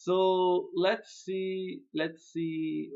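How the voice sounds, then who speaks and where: A man with a non-native accent. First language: not English. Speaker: web developer reviewing client websites. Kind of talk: screen-share website review. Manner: casual, hesitant with fillers.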